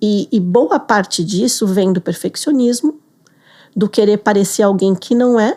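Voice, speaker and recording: The recording is very clean with a silent background. A woman speaks at a moderate pace in a dark, mellow tone, medium in pitch with ordinary variation. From Brazil. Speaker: business English teacher. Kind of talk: interview.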